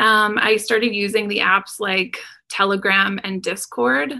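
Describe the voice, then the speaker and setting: A woman speaks with a Canadian accent. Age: 30s. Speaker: urban designer, crypto investor. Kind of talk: interview testimony.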